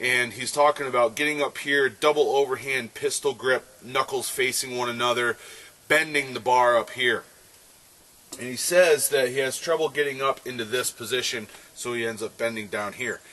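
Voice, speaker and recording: Over noticeable background noise, a man with a medium pitch speaks at a moderate pace with fairly even intonation. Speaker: strength coach, grip strength trainer. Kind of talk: casual Q&A vlog.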